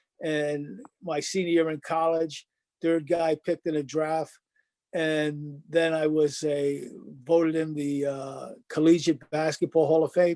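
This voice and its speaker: A man with a Rhode Island accent speaks at a fairly slow pace, his fairly high pitch paired with a dark, mellow tone and fairly even intonation, in a dry, close sound with no echo. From Rhode Island, North Providence. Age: 70s. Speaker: former basketball player. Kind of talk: interview.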